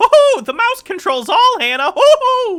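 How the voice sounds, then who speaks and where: This is a put-on character voice with a playful tone and an extremely high pitch. The pitch swings very widely at a moderate pace. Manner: playful, laughing.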